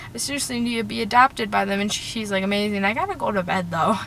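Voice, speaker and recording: A woman with lively intonation at a very fast pace, over noticeable background noise. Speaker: fangirl vlogger. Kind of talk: reading a message aloud. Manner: rambling.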